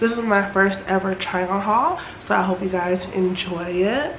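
Amid noticeable background noise, a woman with an American accent talks at a moderate pace with ordinary pitch variation. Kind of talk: casual talk to camera. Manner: chatty, upbeat.

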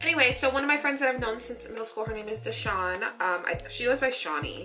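A woman talks very fast in a high pitch, with lively intonation and an animated tone. Music plays behind her, and the room echo is audible. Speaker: lifestyle vlogger. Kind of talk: casual vlog.

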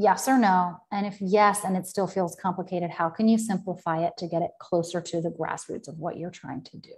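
A woman with a medium pitch speaks somewhat breathily at a fairly quick pace with hardly any pauses. Her intonation is fairly even, her loudness swings a lot, and the background is quiet. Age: 40s. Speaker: business coach. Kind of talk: live-stream talk. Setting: live video stream. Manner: casual, filler-heavy. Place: home room. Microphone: earbuds.

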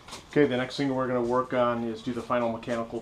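There is noticeable background noise behind this man's voice. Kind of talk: tutorial. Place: workshop. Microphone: camera far.

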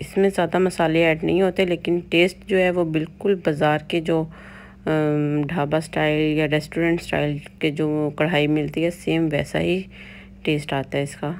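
A woman speaks fairly slowly with a very deep, low pitch. Her intonation is flat and monotone, and there is light background noise. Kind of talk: cooking tutorial. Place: kitchen.

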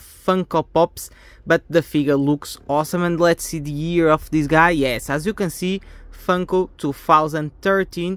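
Against a quiet background, a woman talks at a fairly slow pace in a fairly low voice with ordinary pitch variation and a dry sound with no echo. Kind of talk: casual unboxing commentary. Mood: enthusiastic. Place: home room. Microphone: phone near.

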